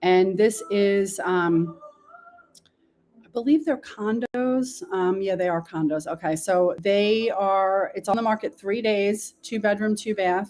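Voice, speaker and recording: Very slow speech from a woman in a New York accent, medium in pitch, with ordinary pitch variation. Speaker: local real estate podcast host. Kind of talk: real estate market walkthrough. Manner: casual, chatty.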